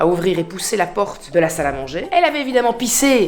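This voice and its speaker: Over background music, a woman talks at a fairly quick pace in an animated tone with very wide pitch swings. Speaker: vlogger and influencer. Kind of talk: casual vlog chat. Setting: at home. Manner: animated, chatty.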